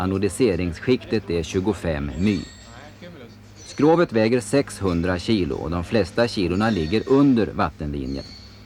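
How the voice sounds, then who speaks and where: A man talks at a moderate pace in a fairly low voice, his intonation lively, with noticeable background noise present. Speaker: documentary voice-over narrator. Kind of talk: documentary slideshow narration.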